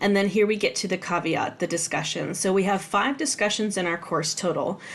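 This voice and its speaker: At a fairly quick pace, the voice moves with ordinary pitch variation. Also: woman, medium pitch for a woman. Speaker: college instructor. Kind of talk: tutorial. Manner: fast; casual, with fillers.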